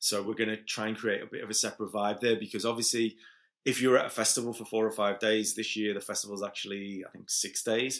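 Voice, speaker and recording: A man with a Liverpool accent, fairly low in pitch, very fast and flat in a monotone, on a very clean recording with a silent background. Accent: Liverpool (Scouse). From Liverpool, England. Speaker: events promoter. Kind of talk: casual interview. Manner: halting, many fillers and repeats.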